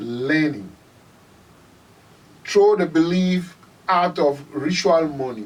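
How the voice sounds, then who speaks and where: A man with a Ghanaian accent speaks at a fairly high pitch over noticeable background noise. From Ghana, Volta Region. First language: Ewe. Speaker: musician. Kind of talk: interview.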